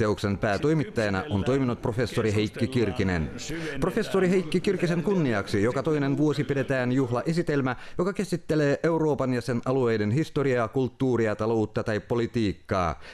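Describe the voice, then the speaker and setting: Noticeable background noise sits behind a man speaking at medium pitch and a moderate pace. His intonation is lively and his loudness very even. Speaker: news presenter. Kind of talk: news reading. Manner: formal.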